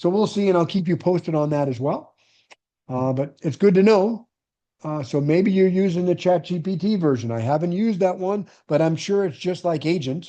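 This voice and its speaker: Against a quiet background, a man speaks with a high pitch and a dark, mellow tone. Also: ordinary pitch variation. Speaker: real estate investor and coach; online meeting host. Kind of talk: live online class. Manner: fast. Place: home room. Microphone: webcam.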